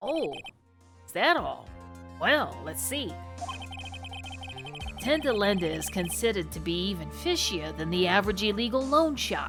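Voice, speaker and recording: A female-sounding, gruff put-on character voice speaks at a moderate pace with long, frequent pauses over faint music in the background. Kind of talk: put-on character voice while reading game text. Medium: virtual streamer. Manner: gruff, casual, calls people pal.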